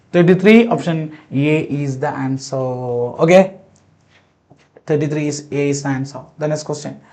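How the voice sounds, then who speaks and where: A man with a fairly high pitch speaks at a moderate pace. Audible room echo is present. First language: not English. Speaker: biology teacher. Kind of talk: lecture. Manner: repetitive, halting.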